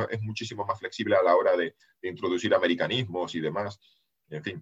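A man at a fairly quick pace. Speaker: geopolitics analyst and writer. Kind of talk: casual interview.

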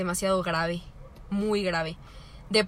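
This voice is a woman's. She speaks in a flat, monotone way. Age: 20s. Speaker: podcast co-host. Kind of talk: casual chat.

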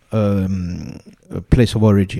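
A man talks in a dark, mellow tone. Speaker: podcast host. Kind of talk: interview. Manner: halting.

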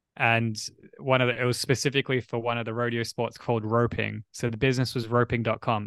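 In a very clean recording with a silent background and a dry, close sound with no echo, a man with an Australian accent speaks at medium pitch and a fairly quick pace. His tone is bright and sharp, his intonation monotone and flat. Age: 30s. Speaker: writer and entrepreneur. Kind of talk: casual chat.

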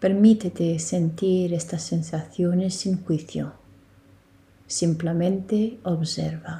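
At a very slow pace, a woman speaks with a fairly low pitch, fairly even intonation, a somewhat breathy, dark, mellow tone and a soothing, calm tone. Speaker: yoga nidra guide. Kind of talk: guided meditation. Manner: slow, soothing, calm; gentle, hushed, long pauses between cues.

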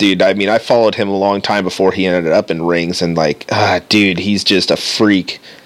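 The delivery is fairly quick, with monotone, flat intonation. Noticeable background noise sits behind it. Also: man, very deep, low pitch for a man. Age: 30s. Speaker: podcast co-host, guitarist. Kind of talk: casual chat.

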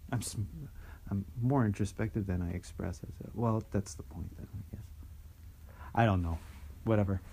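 A man's fairly low, dark and mellow voice, somewhat breathy, at a moderate pace with ordinary pitch variation and long, frequent pauses. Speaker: podcast co-host. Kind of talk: casual chat. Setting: on a porch.

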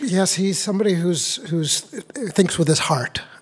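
A man talks at a moderate rate while noticeable background noise plays behind him. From New Hampshire, US. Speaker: actor. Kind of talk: interview.

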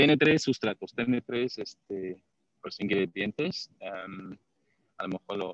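A man speaks at a very slow pace, his pitch fairly low with ordinary variation. The sound is dry and close, with no echo. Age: 50s. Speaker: patient. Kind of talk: testimony. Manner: halting.

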